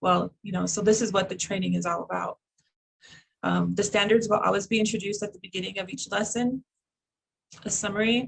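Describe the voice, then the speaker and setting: A woman's medium-pitched voice with vocal fry and monotone, flat intonation at a fairly quick pace. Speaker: educator presenting a curriculum project. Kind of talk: online presentation. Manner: hesitant, many fillers; fast.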